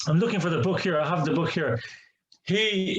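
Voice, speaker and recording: Here a man speaks with an Irish accent. His pitch is high. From Ireland. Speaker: imam. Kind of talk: testimony. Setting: online seminar.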